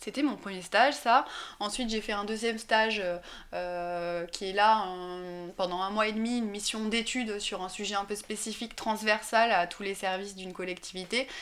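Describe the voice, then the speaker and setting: A woman speaks at a medium pitch and a moderate pace. Her intonation stays fairly even. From France, Drôme provençale (rural southeast). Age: 20s. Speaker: senior local civil servant. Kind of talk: interview. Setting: at her home. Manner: hesitant, many fillers and repetitions.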